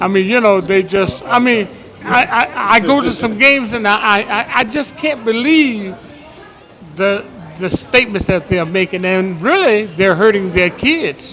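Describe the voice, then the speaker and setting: With an American accent, a man speaks in a raised, projected voice at a high pitch with lively intonation and a fairly slow pace. Music plays in the background. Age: 80s+. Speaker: audience member at community panel. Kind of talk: public comment at a community forum. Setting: bistro with live audience.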